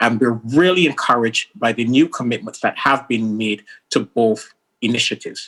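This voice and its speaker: This man has a Caribbean accent and a medium pitch. He speaks at a moderate pace with ordinary pitch variation. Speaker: senior UN official. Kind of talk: formal speech. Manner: formal.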